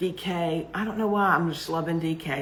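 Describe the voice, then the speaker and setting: Fairly slow speech from a woman with a fairly low voice, ordinary pitch variation, and audible room echo. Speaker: yarn seller and craft vlogger. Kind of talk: casual chat. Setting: livestream.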